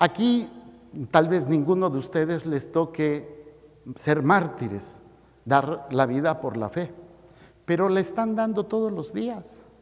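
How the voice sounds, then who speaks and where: A man speaks very slowly in a fairly high voice, his pitch swinging very widely. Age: 60s. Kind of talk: sermon. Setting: church.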